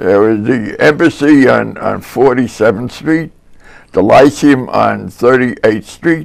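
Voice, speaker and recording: A man with a New Jersey accent speaks at a very slow pace, his voice carrying vocal fry and ordinary pitch variation. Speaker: local elder recalling history. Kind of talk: interview.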